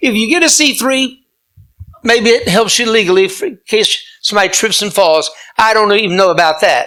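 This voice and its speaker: Raised and projected, the voice has a bright, sharp, animated tone, with lively intonation and a moderate pace. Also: man, high pitch for a man. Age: 70s. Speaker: pastor and conservative activist. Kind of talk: speech to club audience with Q&A. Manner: animated, preacherly.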